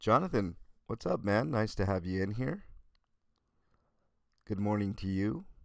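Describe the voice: The voice carries vocal fry and lively intonation. It moves at a fairly slow pace. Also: man, fairly low pitch for a man.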